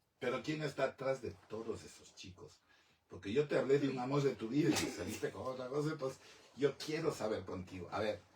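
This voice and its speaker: With an unremarkable speaking voice, a man talks at a fairly quick pace in a medium pitch, with ordinary pitch variation and big swings in loudness. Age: 60s. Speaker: talk show host. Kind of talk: interview.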